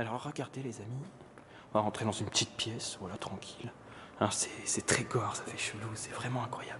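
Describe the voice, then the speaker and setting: Quiet speech comes at a fairly quick pace with noticeable background noise. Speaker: urban explorer vlogger. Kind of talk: exploration vlog narration. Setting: outdoors and inside abandoned building at night. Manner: soft-spoken, speaking quietly; animated.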